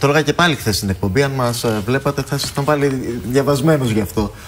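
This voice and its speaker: Amid noticeable background noise, a man with a fairly high pitch talks at a very fast pace. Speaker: TV news host. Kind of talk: TV interview.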